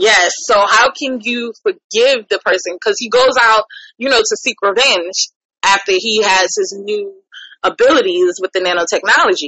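This woman has a plain, everyday voice with a fairly high pitch. She talks at a moderate pace. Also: lively intonation. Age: 30s. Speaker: podcast host. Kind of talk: casual chat.

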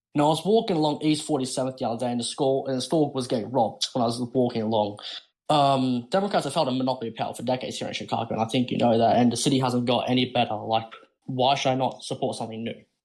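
The speaker talks at a very fast pace with an Australian accent. Pitch varies in an ordinary way. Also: man, medium pitch for a man. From Australia, Sydney. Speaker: caller. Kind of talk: call-in argument.

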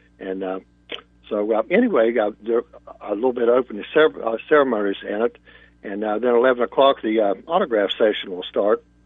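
At a fairly quick pace, a plain, everyday voice shows ordinary pitch variation. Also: man, medium pitch for a man. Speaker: race event organizer. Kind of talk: casual chat. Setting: phone call.

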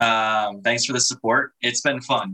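Here is a man with a bright, sharp tone at a medium pitch. He keeps a moderate pace and ordinary pitch variation. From US Midwest, Chicago area. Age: 20s. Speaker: air force analyst. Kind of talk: casual chat.

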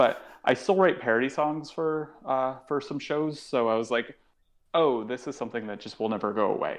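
On a quiet background, a man with an American accent and an ordinary speaking voice talks at a moderate pace with ordinary pitch variation. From Connecticut, US. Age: 30s. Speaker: stand-up comedian. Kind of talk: casual chat.

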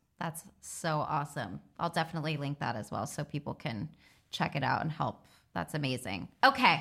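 A woman with a very deep, low pitch and vocal fry speaks at a moderate pace in an enthusiastic tone with lively intonation. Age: 30s. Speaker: podcast host. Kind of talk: casual interview.

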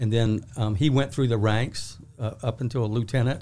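Speaking with a South Carolina accent, a man moves at a fairly quick pace. His pitch sits in the medium range. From Charleston, South Carolina. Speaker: sheriff's office deputy chief. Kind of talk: interview.

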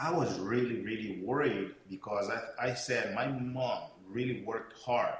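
Someone with a Portuguese accent speaks at a fairly slow pace with ordinary pitch variation. Noticeable background noise is present. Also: man, medium pitch for a man. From São Tomé and Príncipe, West Africa (Portuguese-speaking). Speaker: network marketing speaker and mentor. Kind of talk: motivational talk. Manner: hesitant, many fillers.

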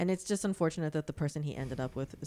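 In a very clean recording with a silent background, a woman with an American accent speaks in a dark, mellow tone. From Florida. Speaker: cannabis expert and comedian. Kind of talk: casual chat.

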